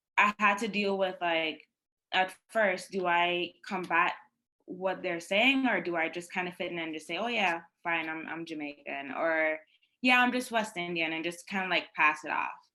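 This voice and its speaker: Bright and sharp in tone, a woman with a Guyanese accent speaks at a fairly low pitch and a moderate pace, with ordinary pitch variation. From Guyana. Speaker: panelist, law clerk. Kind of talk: panel discussion. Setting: virtual summit. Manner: casual, many fillers.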